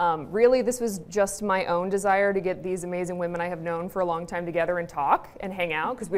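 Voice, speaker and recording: A woman speaks at a very fast pace in a medium pitch. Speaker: panel moderator. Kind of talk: panel discussion.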